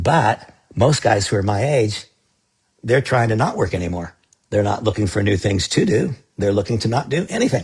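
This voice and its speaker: A man with a fairly low, somewhat breathy voice speaks at a moderate pace with lively intonation. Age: 60s. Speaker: network marketing leader. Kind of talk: sales pitch. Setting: live stream.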